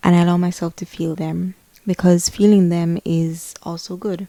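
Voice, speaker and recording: With a Spanish accent, a woman speaks at a fairly low pitch in a dark, mellow tone and monotone, flat intonation, with a dry, close sound and no echo. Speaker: lifestyle vlogger. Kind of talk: casual vlog monologue. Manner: halting, repeats words.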